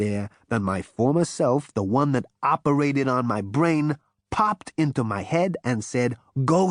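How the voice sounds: A natural reading voice with lively intonation is heard with a quiet background behind it.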